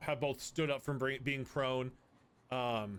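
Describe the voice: The intonation is fairly even throughout. It is plain reading aloud.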